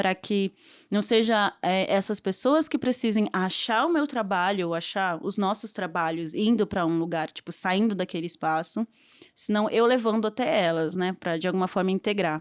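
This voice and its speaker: A woman with an ordinary speaking voice, medium in pitch with lively intonation, comes through a very clean recording with a silent background and a dry, close sound with no echo. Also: moderate pace. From Brazil, São Paulo (born in Bolivia). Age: 20s. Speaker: filmmaker. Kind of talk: podcast interview.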